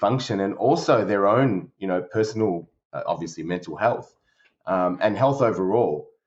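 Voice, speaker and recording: With an Australian accent, a man talks in a fairly low pitch. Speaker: service director at a company. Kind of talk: podcast interview. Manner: halting, many fillers.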